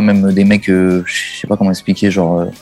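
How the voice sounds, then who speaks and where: Over music in the background, a man with a fairly low pitch speaks at a moderate pace. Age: 30s. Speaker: music video director. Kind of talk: interview, casual chat.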